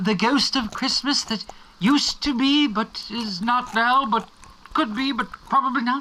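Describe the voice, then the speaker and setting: A put-on character voice moves at a moderate pace with a fairly high pitch. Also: female-sounding voice. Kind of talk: mock-Victorian melodrama. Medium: audio drama.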